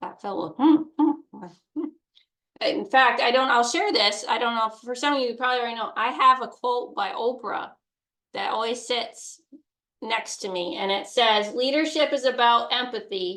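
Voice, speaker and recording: At a moderate pace, a woman speaks in a high pitch with a bright, sharp tone, lively intonation and big swings in loudness. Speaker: online course instructor. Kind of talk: live online course talk. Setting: livestream. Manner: casual, halting with self-corrections.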